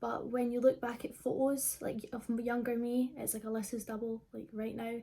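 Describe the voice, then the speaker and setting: At a moderate pace, a woman talks in a fairly high voice with a dark, mellow tone and ordinary pitch variation. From Scotland, Livingston (between Glasgow and Edinburgh). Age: 20s. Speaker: YouTuber. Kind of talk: casual Q&A vlog. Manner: casual, many fillers.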